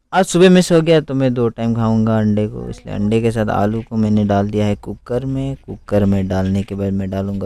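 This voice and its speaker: A man speaks with a fairly low pitch, a dark, mellow tone and lively intonation. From Arunachal Pradesh, India. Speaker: home cooking video creator. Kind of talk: cooking tutorial. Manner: casual, conversational.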